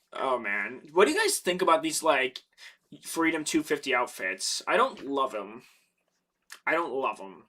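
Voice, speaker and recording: At a moderate pace, a man with vocal fry speaks at a fairly high pitch, his pitch swinging very widely between long, frequent pauses. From Canada, Ontario. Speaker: MMA streamer. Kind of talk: casual live stream chat. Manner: animated.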